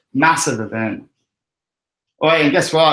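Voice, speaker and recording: The man speaks in an Australian accent, his pitch varying in an ordinary way. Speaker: crypto livestream host. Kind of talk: casual chat. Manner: animated.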